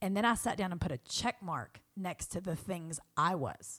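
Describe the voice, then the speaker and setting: In a Southern US accent, a woman talks with a fairly low pitch and ordinary pitch variation. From US South. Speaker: friend of the host. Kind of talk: casual chat. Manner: animated.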